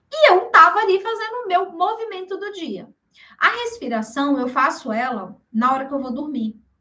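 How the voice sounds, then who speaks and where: In a Brazilian accent, a woman with a high pitch and a bright, sharp tone uses a raised, projected voice and an animated tone, making very wide pitch swings at a moderate pace. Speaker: workshop speaker, health professional. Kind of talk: workshop presentation.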